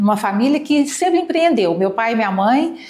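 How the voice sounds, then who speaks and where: Her intonation lively and her pitch fairly high, this woman has a plain, everyday voice. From Brazil, Goiânia. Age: 60s. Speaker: business owner. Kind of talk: interview testimony.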